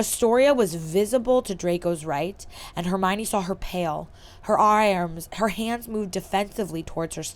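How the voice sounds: Ordinary pitch variation marks a natural reading voice.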